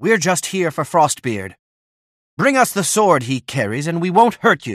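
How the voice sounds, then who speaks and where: A man puts on a character voice, high-pitched with very wide pitch swings, at a moderate pace. The recording is very clean with a silent background. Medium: video game.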